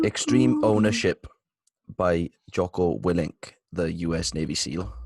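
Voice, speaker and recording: With a British accent, a man with a very deep, low pitch talks at a fairly slow pace using lively intonation, the sound dry and close with no echo. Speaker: podcast co-host. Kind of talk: casual chat.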